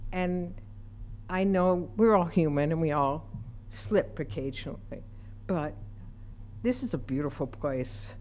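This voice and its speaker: A woman with an American accent speaks at a fairly slow pace in a very deep, low pitch, with long, frequent pauses, very wide pitch swings and audible room echo. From Utica, New York. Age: 70s. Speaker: public commenter. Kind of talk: public comment. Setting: city council meeting.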